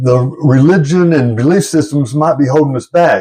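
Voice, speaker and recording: A man with a fairly high pitch speaks at a moderate pace, sounding somewhat breathy, with lively intonation. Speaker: YouTuber discussing UFOs and spirituality. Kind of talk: casual monologue to camera. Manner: halting, self-described stuttering.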